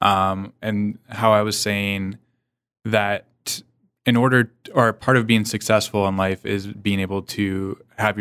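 A man speaks at a fairly slow pace in a fairly low pitch. His intonation is monotone and flat. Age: 30s. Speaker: podcast host. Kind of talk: casual chat. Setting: studio.

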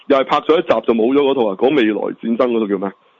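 His pitch shows ordinary variation. The man talks at a fairly quick pace. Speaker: podcast co-host. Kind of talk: casual chat. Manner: animated.

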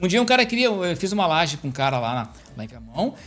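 His pitch jumps over a very wide range. The speaker is a man. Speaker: civil engineer. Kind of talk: casual chat. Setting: live stream.

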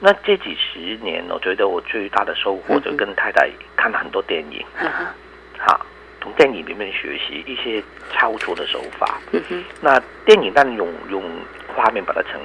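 Noticeable background noise accompanies a man whose loudness swings widely. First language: Cantonese (speaking Chinese). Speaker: professor and poet. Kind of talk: reading aloud; interview.

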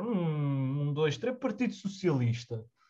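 Somewhat breathy, a man speaks with a dark, mellow tone and a fairly high pitch. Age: young. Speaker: podcast host. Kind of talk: casual chat.

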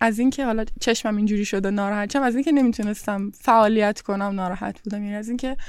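A woman talks at a very fast pace. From Bandar Abbas, southern Iran. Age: 20s. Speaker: artist and law student. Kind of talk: interview. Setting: outdoors on a terrace.

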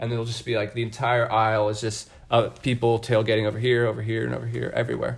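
A man with an American accent at medium pitch, somewhat breathy, very fast, with monotone, flat intonation. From US Midwest, outside Kansas City. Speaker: college student traveler. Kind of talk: casual chat.

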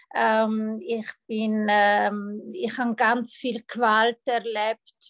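A woman speaks at a fairly high pitch in a flat, monotone way, the sound dry and close with no echo. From Switzerland, Thurgau (Lake Constance). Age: 30s. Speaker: mental coach. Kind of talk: personal testimony in interview. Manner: halting, many fillers.

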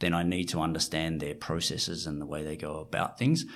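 A man with an Australian accent. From rural Australia. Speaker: fund manager. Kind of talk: interview.

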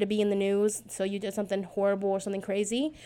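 On a very clean recording with a silent background, a woman speaks in an animated tone. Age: 20s. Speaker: podcaster. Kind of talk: casual solo podcast monologue. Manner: fast talker; rambling, animated, self-deprecating.

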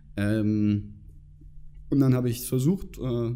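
At a fairly slow pace, a man with a medium-pitched, dark and mellow voice talks with ordinary pitch variation. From northern Germany, near Hamburg. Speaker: former student club member, finance professional. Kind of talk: interview. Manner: hesitant with many fillers.

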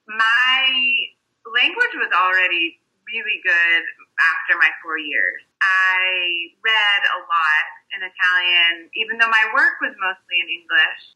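A woman's normal speaking voice, medium in pitch, with an American accent, a fairly slow pace and ordinary pitch variation. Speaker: tour guide and writer. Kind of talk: casual interview.

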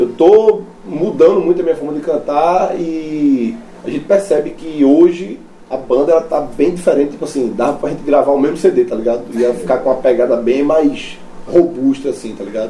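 A fairly high-pitched man speaks with lively intonation at a moderate pace, noticeable background noise behind him. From Brazil, Recife. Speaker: metal band vocalist. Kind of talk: casual chat. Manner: casual slangy.

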